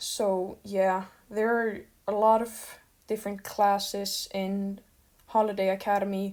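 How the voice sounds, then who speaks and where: Over a silent background in a very clean recording, a woman speaks at a medium pitch and a fairly slow pace with monotone, flat intonation. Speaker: art channel creator. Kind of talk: unscripted casual talk over speed paint. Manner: halting, stuttering; rambling filler words.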